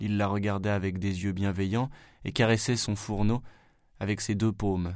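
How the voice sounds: Intonation stays fairly even in a natural reading voice.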